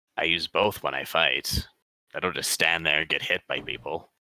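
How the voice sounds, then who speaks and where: Put-on character voice from a man, very deep and low, raspy, delivered at a moderate pace. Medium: actual play. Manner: defensive.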